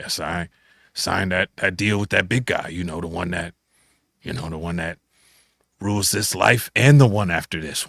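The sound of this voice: A man's put-on character voice, very deep, low and raspy, with big swings in loudness, ordinary pitch variation, a moderate pace and long, frequent pauses, dry and close with no echo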